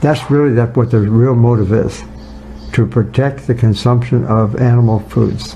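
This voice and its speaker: Noticeable background noise sits behind a man whose loudness stays very even. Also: medium pitch for a man, fairly even intonation, moderate pace. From rural farm upbringing. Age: 80s+. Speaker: nutrition scientist. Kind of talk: casual interview.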